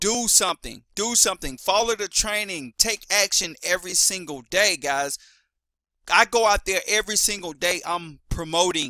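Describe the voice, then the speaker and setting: A man projects a raised voice at a high pitch, his tone bright and sharp, in a dry, close recording with no echo. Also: ordinary pitch variation, moderate pace. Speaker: affiliate marketer. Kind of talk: sales pitch. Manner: loud; animated.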